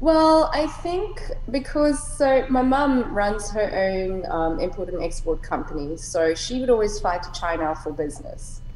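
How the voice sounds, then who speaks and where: A woman with a high voice speaks at a fairly slow pace with very wide pitch swings and hardly any pauses, over noticeable background noise. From South Africa, Cape Town. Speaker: entrepreneur podcaster. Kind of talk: casual chat. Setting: video call.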